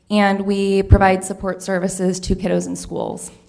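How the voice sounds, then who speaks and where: A soft-spoken woman talks at a moderate pace. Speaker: county agency manager. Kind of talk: public comment presentation. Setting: council meeting chamber. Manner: hesitant, frequent fillers.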